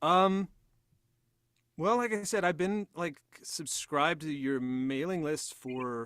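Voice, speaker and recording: A man talks very slowly, leaving long, frequent pauses. His pitch is fairly high and his intonation lively. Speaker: aspiring voice actor. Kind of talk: casual chat. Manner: halting.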